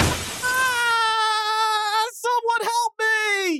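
A put-on character voice speaks at an extremely high pitch with monotone, flat intonation. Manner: shouting for help, panicked.

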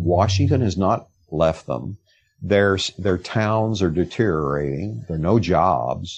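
A man with a Texan accent speaks at a fairly slow pace with lively intonation. His very deep, low voice carries vocal fry. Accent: Texan Southern American. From rural East Texas, US South. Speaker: investigative reporter. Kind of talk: interview conversation.

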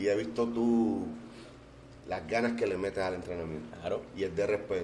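Audible room echo surrounds a man's voice. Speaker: podcast host. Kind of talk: casual interview. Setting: restaurant.

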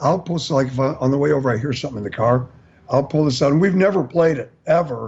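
A man speaks very fast in a fairly high pitch with an American accent. His voice is somewhat breathy, with ordinary pitch variation. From US Midwest. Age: 60s. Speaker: singer and bandleader. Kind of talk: casual chat.

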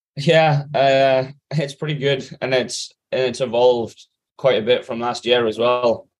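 A man with an English accent, monotone and flat in intonation, at a fairly slow pace. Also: medium pitch for a man. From Britain. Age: 20s. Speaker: professional triathlete. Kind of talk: interview. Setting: remote call.

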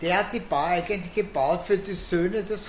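Audible room echo surrounds a woman whose voice is fairly low in pitch. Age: 70s. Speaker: bar owner. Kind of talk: casual chat. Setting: in a bar.

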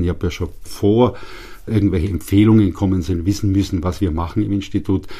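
A man speaks very fast in a very deep, low voice with a dark, mellow tone. His delivery is somewhat breathy, with fairly even intonation. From Upper Bavaria, Germany. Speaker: institute director, physical chemist. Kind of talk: interview. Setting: studio.

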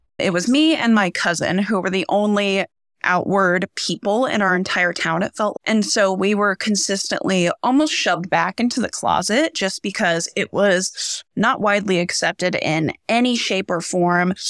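A woman's normal speaking voice with an American accent, medium in pitch with ordinary pitch variation, very even loudness and hardly any pauses, in a dry, close sound with no echo. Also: moderate pace. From rural central Nebraska. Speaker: theater teacher. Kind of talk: panel discussion.

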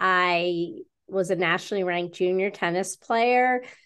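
Over a quiet background, a normal speaking voice with an American accent goes at a fairly slow pace. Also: woman. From western New York. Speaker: author and speaker. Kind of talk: interview.

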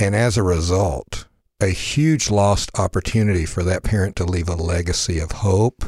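A man's very deep, low, somewhat breathy voice at a moderate pace, with ordinary pitch variation, in a very clean recording with a silent background. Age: 60s. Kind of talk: casual chat.

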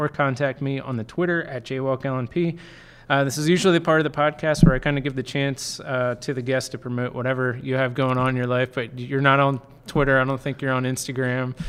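Here a man speaks in an ordinary speaking voice at medium pitch. His pace is fairly quick. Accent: American. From Lancaster County, Pennsylvania. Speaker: sports reporter and podcast host. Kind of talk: podcast interview.

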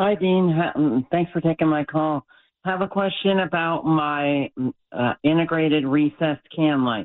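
This man has a plain, everyday voice, fairly high in pitch, with ordinary pitch variation and a fairly slow pace. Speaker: caller. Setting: phone call.

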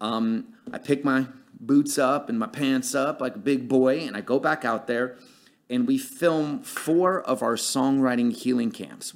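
A normal speaking voice with an American accent. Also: man. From Connecticut. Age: 40s. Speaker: film producer and director. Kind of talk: casual interview.

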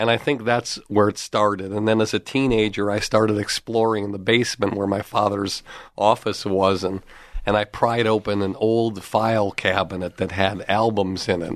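A man with an American accent talks at a moderate pace in a fairly low pitch. His intonation is monotone and flat, and the background is quiet. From US Northeast (Massachusetts). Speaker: comedy manager and podcast host. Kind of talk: interview.

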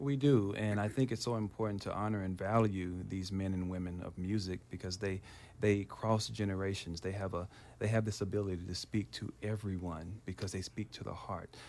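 In an American accent, a man with a fairly low pitch and an unremarkable speaking voice talks at a fairly quick pace with fairly even intonation, on a very clean recording with a silent background. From US South, Memphis, Tennessee. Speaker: pastor. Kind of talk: radio interview.

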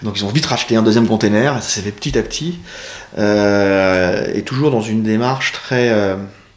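A man talks at a moderate pace in a fairly low pitch. His pitch varies in an ordinary way, with noticeable background noise behind him. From northern France. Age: 40s. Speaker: e-commerce CEO. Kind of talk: interview. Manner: hesitant, many fillers.

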